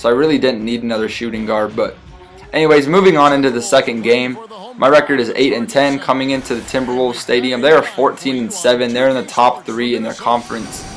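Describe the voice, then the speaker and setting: This man speaks at a fairly quick pace in a medium pitch with ordinary pitch variation. Noticeable background noise is present. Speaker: gaming YouTuber. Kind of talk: live sports commentary. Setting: video game recording with voiceover. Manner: animated, hyped play-by-play with jokes and exaggerated exclamations; casual, jokey, fast and excitable.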